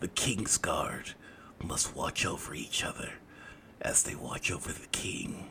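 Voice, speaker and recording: A man whispers at a fairly slow pace in a put-on character voice. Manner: commanding, echoing through a hall.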